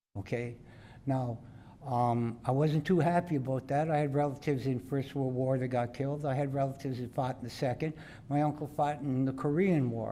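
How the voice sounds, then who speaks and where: Audible room echo accompanies a man's voice. His tone is dark and mellow, his intonation fairly even. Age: 70s. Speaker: local resident. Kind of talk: public address at council meeting. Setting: council chamber podium. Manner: halting.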